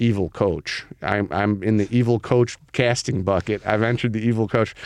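Here is a man with an unremarkable speaking voice, fairly low in pitch, talking at a moderate pace with fairly even intonation and very even loudness. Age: 40s. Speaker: podcast host. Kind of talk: casual chat.

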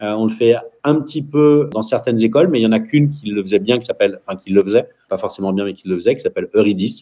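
With lively intonation and a medium pitch, this man talks at a very fast pace. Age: 40s. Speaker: entrepreneur and school founder. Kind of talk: radio interview. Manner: talkative, fast.

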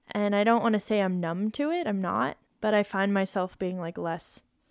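In a very clean recording with a silent background, a woman with an American accent speaks in an unremarkable speaking voice. Her pitch is medium with ordinary variation, and her pace is moderate. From Colorado, US. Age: 30s. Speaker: professional climber. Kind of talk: casual chat.

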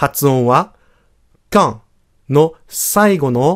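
In a very clean recording with a silent background, a man with a fairly high pitch speaks very slowly, his pitch swinging very widely. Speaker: French teacher. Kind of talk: language lesson podcast.

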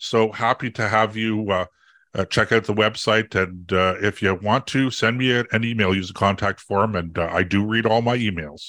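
A man talks at a moderate pace in a fairly low pitch with a Canadian accent, his tone bright and sharp and his intonation fairly even. The sound is dry and close with no echo, on a very clean recording with a silent background. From Canada. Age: 60s. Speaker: conservative political commentator. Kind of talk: interview. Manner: halting, many fillers and repeats; passionate.

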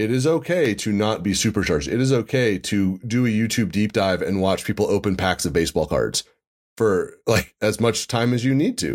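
Very clean, with a silent background, the recording holds a man's medium-pitched voice. He has an unremarkable speaking voice. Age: 40s. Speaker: podcast host and physician. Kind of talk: casual interview chat; scripted sponsor read.

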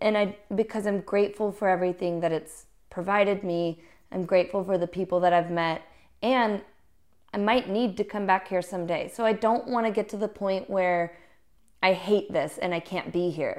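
A woman with an American accent and an ordinary speaking voice talks at a moderate pace and medium pitch, with fairly even intonation, on a very clean recording with a silent background. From US South, Little Rock, Arkansas. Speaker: musician. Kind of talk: casual interview.

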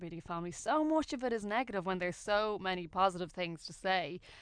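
A woman with an Irish accent at a medium pitch against a quiet background. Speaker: radio host. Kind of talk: radio interview. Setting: radio studio.

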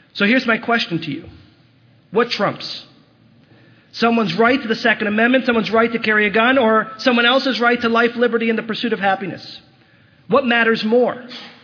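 A man's extremely high-pitched voice at a fairly quick pace, with fairly even intonation, long, frequent pauses and noticeable background noise. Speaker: rabbi. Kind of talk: impassioned holiday sermon building to a call to action. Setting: synagogue service before congregation. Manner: urgent, rhetorical questioning with rising moral conviction; earnest and exhortative, pleading with congregation.

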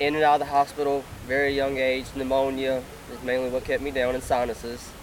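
With an American accent, a man speaks at a fairly quick pace and a medium pitch. Noticeable background noise is present. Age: 20s. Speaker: lung transplant recipient, athlete. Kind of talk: testimony.

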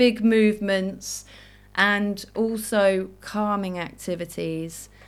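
Music plays in the background as a woman speaks in a British accent, medium in pitch with fairly even intonation. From Jersey, Channel Islands. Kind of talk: live-stream talk with Q&A; scripted podcast intro. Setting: Facebook Live video recording.

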